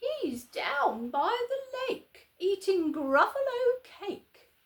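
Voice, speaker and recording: A squeaky, put-on character voice from a woman, pitched extremely high, with very wide pitch swings and a very slow pace. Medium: read story.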